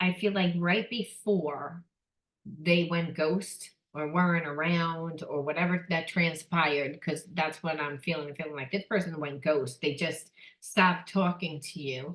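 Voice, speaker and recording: Fairly low in pitch, a woman with an unremarkable speaking voice talks at a fairly slow pace with fairly even intonation. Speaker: psychic tarot reader. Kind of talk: tarot reading monologue. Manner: casual.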